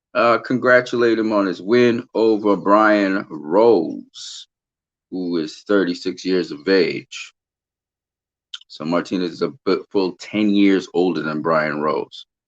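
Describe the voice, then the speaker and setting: Against a quiet background, a man with a normal speaking voice and medium pitch talks at a fairly slow pace. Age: 40s. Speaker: boxing channel host. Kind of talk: live stream commentary and chat. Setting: live stream. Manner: casual, conversational with filler words.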